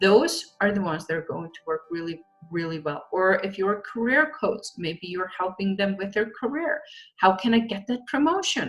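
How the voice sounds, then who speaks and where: A woman with a non-native accent at a medium pitch and a moderate pace, her intonation lively and her loudness swinging widely, with music in the background. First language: not English. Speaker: social media marketing coach. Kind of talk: online training video.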